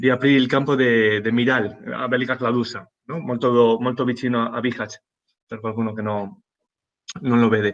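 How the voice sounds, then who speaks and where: A man speaks at a moderate pace with fairly even intonation and long, frequent pauses. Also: medium pitch for a man. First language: Spanish (speaking Italian). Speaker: humanitarian aid worker. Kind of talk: panel talk. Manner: halting.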